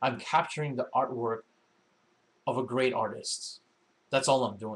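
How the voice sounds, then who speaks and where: A man speaks at a medium pitch and a moderate pace, somewhat breathy. His pitch varies in an ordinary way. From Filipino heritage. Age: 30s. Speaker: faith and arts commentator, poet. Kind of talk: live-streamed talk show monologue. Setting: live stream broadcast. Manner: halting, many repetitions.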